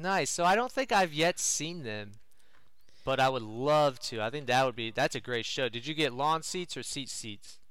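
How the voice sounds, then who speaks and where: In a very clean recording with a silent background, a man has a normal speaking voice at medium pitch. He moves at a moderate pace with lively intonation. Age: 30s. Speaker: music fan guest. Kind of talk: casual chat.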